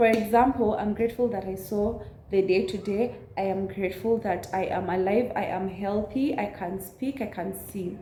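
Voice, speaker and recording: In a Kenyan accent, a woman at medium pitch speaks at a moderate pace with ordinary pitch variation, amid noticeable background noise and audible room echo. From central Kenya. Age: 20s. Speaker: YouTuber. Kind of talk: casual chat.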